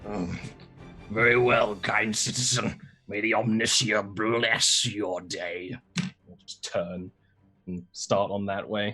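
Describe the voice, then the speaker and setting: A man's put-on character voice, raspy and fairly low-pitched, at a fairly slow pace with long, frequent pauses, big swings in loudness, and faint music in the background. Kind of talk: stilted machine-like formality. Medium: actual play. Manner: pompous, formal.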